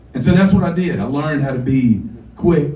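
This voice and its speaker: Over noticeable background noise and audible room echo, a man with a Southern US accent talks fairly quickly with lively intonation. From US South (North Carolina). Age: 40s. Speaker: singer-songwriter. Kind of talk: storytelling on stage. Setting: stage with audience.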